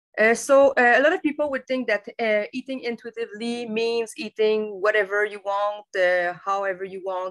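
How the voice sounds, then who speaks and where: A woman with a non-native accent, moderate pace and ordinary pitch variation, in a dry, close sound with no echo. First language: French. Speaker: dietitian. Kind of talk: webinar presentation. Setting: online webinar. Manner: halting, many fillers.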